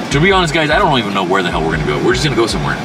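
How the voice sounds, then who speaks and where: Music plays in the background as a man speaks. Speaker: road trip vlogger. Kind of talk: casual vlog chat. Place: car.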